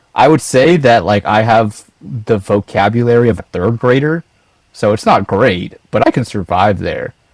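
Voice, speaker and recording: A man with an American accent, medium pitch, ordinary pitch variation and a moderate pace, in a dry, close sound with no echo. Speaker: project engineer, podcast guest. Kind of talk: casual chat.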